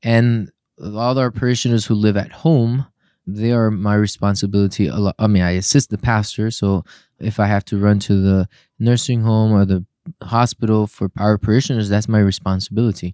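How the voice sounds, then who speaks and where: A man's fairly low, dark, mellow voice at a fairly quick pace with fairly even intonation, dry and close with no echo, on a very clean recording with a silent background. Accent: Spanish. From Puerto Rico. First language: Spanish. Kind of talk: casual interview.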